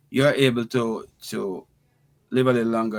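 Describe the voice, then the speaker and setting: A man speaks with monotone, flat intonation. The recording is very clean, and the background is silent. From Jamaica, Westmoreland parish. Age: 60s. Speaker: healthcare entrepreneur and former teacher. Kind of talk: interview. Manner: halting, with frequent repetitions.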